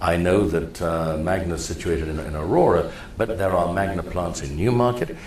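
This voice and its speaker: A man with a very deep, low pitch talks at a fairly quick pace with ordinary pitch variation. The recording has audible room echo and noticeable background noise. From Kenya. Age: 60s. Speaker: mayoral candidate and preacher. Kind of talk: interview.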